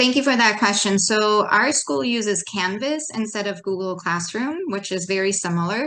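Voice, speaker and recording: A woman speaks at a medium pitch with a bright, sharp tone. Her intonation is lively. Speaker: high school teacher. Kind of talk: presentation to educators. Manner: animated.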